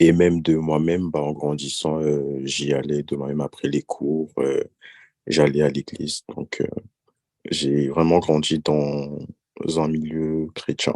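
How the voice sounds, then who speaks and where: Delivered at a very slow pace, the voice has a dark, mellow tone and monotone, flat intonation in a dry, close sound with no echo. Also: man, very deep, low pitch for a man. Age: 20s. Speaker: podcast guest. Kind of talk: personal testimony.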